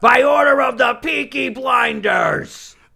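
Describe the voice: Someone shouts in a put-on character voice. The delivery comes at a fairly slow pace. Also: man, extremely high pitch for a man.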